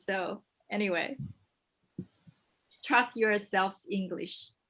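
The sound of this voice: At a slow pace, a woman with a medium pitch and a fairly bright tone speaks with ordinary pitch variation.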